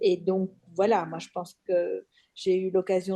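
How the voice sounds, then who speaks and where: A woman's dark, mellow voice at medium pitch, fairly slow, with monotone, flat intonation. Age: 60s. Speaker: doctor, webinar participant. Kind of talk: self-introduction.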